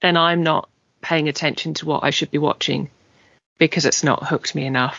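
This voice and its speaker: At a fairly quick pace, a woman with an English accent talks in a very deep, low pitch and a monotone, flat intonation. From England. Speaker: podcast host. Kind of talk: casual chat.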